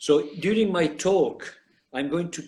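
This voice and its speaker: A man with an Italian accent talks at a very slow pace. His intonation is lively. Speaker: professor. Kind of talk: lecture. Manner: halting.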